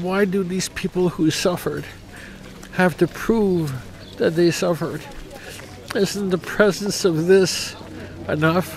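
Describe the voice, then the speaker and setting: A man with a high pitch speaks at a fairly slow pace with fairly even intonation and long, frequent pauses. Noticeable background noise sits behind him. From Canada. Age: 60s. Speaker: memorial visitor. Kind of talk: emotional vox pop interview.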